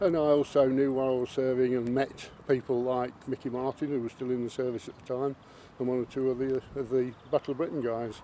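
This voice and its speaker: A man speaks fairly quickly in a flat monotone. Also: medium pitch for a man. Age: 70s. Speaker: RAF veteran. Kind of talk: interview. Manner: halting.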